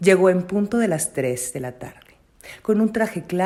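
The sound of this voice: An unforced reading voice moves through ordinary rises and falls in pitch.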